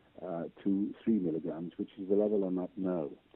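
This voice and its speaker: His pitch is very deep and low. The man's intonation remains fairly even as he talks. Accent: Welsh. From Wales. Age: 70s. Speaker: patient sharing medical experience. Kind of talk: interview testimony. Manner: hesitant, many fillers.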